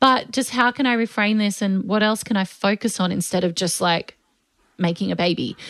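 In an ordinary speaking voice, a woman talks at a moderate pace with medium pitch, ordinary pitch variation and very even loudness. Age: 30s. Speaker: podcast co-host. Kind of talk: casual chat.

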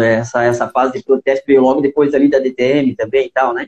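A man with a fairly high pitch, talking at a very fast pace. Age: 40s. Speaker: podcast host, karting league organizer. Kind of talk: interview. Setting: live video call.

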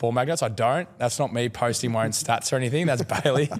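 A man speaks very fast in an Australian accent. Background noise is clearly audible. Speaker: Australian rules footballer. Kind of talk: casual chat.

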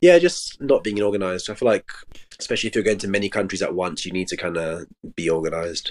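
A man talks very fast at a fairly low pitch. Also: ordinary pitch variation. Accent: London. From London. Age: 20s. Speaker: travel content creator. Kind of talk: casual chat.

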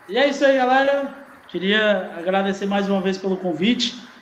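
Audible room echo and noticeable background noise surround this recording of a man. He talks at a moderate pace with ordinary pitch variation. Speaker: DJ and composer. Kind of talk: casual interview.

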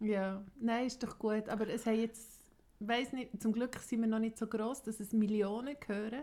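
Speaking at a moderate pace, a woman with a Swiss accent has a fairly high pitch and a dark, mellow tone. Her intonation is monotone and flat. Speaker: podcast co-host. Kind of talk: casual chat.

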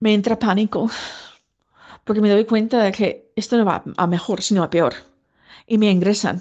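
Set against a quiet background, the speaker talks at a moderate pace in an English accent, with fairly even intonation, very even loudness, and long, frequent pauses. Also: woman, fairly high pitch for a woman. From US, Virginia. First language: English (speaking Spanish). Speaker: person living with schizophrenia. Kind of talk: testimony.

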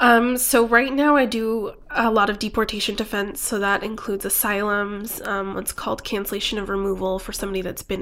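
In a very clean recording with a silent background, a woman with an American accent uses a normal speaking voice at a medium pitch, talking at a fairly quick pace with fairly even intonation. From US Southwest (New Mexico and Phoenix). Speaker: immigration lawyer. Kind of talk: interview.

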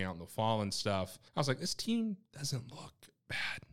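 In a very clean recording with a silent background, a man talks with an American accent. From North Carolina, Winston-Salem. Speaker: sports staff writer. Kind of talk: casual sports chat.

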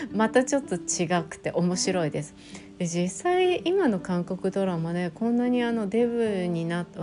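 Music plays behind a woman whose medium-pitched voice shows ordinary pitch variation. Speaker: solo podcast host talking about Korean dramas. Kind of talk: casual solo podcast monologue.

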